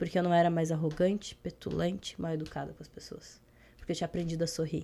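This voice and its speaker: A woman's dark, mellow voice at a fairly low pitch, very fast, monotone and flat, with vocal fry and big swings in loudness, in a very clean recording with a silent background. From Brazil, interior of Rio Grande do Sul. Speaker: emotional intelligence and leadership trainer. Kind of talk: podcast interview.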